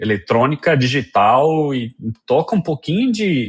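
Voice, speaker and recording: A man talks at a fairly slow pace, somewhat breathy. His pitch swings very widely. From Colombia. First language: Spanish (speaking Portuguese). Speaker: software engineer. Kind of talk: interview. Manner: halting, many fillers.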